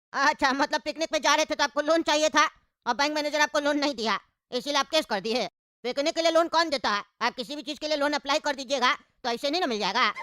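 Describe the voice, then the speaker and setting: A cartoonish character voice rattles along at a very fast pace and high pitch on a very clean recording with a silent background. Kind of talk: comic cartoon bickering. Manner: brash, scolding, colloquial.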